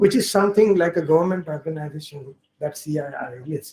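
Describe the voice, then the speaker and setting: This man talks at a fairly quick pace with ordinary pitch variation. His tone is dark and mellow. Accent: Marathi. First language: Marathi. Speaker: linguistics professor. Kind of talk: workshop opening speech. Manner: halting.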